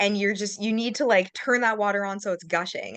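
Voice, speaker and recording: A woman's unremarkable speaking voice with a Canadian accent, medium in pitch, at a fairly quick pace against a quiet background. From Canada. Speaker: massage therapist. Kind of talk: casual interview.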